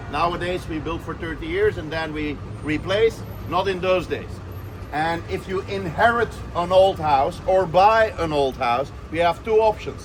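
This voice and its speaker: A man speaks at a fairly slow pace in a high pitch, with lively intonation. Noticeable background noise is present. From Belgium, Brussels. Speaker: tour guide. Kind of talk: guided walking tour. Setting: outdoors, city square.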